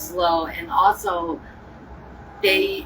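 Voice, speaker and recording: The speech has ordinary pitch variation, set against noticeable background noise. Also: woman. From Ohio. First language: American Sign Language. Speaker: livestreamer. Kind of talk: casual chat.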